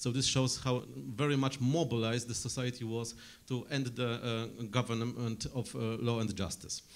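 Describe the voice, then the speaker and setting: This man has a Polish accent and a medium pitch. His intonation is fairly even, at a moderate pace. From Poland. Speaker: journalist and political scientist. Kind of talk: conference panel talk. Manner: hesitant, many fillers.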